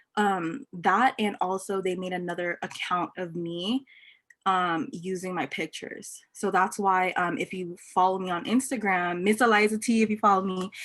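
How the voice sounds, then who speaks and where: A woman talks in a plain, everyday voice with an American accent. Her pitch is medium, with ordinary variation, at a moderate pace. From Los Angeles. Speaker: entrepreneur. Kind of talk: casual chat.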